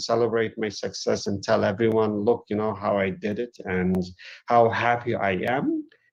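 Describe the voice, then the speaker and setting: A medium-pitched man with a Turkish accent at a moderate pace, over a quiet background. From Eastern Turkey. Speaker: academic author. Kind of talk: lecture. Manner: halting.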